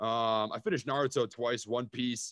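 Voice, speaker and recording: A man with a Minnesota accent at a moderate pace. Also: quiet background. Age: 20s. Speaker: stock investor and YouTuber. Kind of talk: casual chat.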